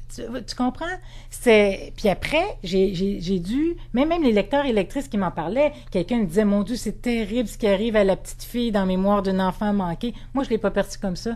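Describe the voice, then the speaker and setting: Lively in intonation, a woman with a fairly high pitch speaks at a moderate pace in a dark, mellow tone. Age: 40s. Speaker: novelist. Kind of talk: interview. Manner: halting, many repetitions and fillers.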